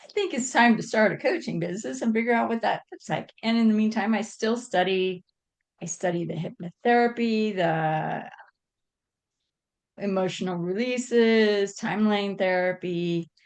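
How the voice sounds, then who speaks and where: A woman's plain, everyday voice at a medium pitch and moderate pace, with ordinary pitch variation. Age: 60s. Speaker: leadership coach. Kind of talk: interview.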